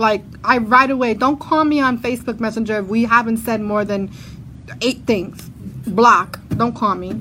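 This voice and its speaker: A woman speaks in an animated tone with a fairly high pitch and ordinary pitch variation. Her voice is bright and sharp, with vocal fry. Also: moderate pace. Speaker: podcast host. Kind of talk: casual chat. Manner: animated, talkative.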